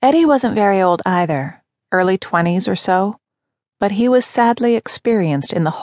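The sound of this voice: An unforced reading voice over a quiet background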